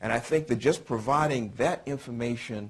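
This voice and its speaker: Here a man speaks in a medium pitch with ordinary pitch variation. His voice is somewhat breathy. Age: 60s. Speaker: panelist on city policing. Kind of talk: panel discussion. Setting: law school breakfast panel with audience. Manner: halting, many fillers.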